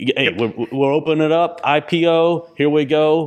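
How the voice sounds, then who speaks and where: With an unremarkable speaking voice, a man talks in a fairly high pitch with fairly even intonation. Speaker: podcast co-host. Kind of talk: casual chat. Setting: in person.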